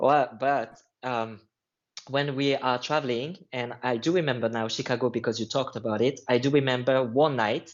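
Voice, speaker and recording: A man speaks with a French accent at a moderate pace. His medium pitch carries fairly even intonation. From France. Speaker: line dance instructor. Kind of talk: casual chat.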